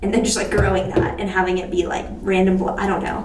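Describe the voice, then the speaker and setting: A woman with an American accent is heard with audible room echo and noticeable background noise. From Texas. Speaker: beauty and astrology vlogger. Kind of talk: casual chat while doing makeup. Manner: fast, rambling casual.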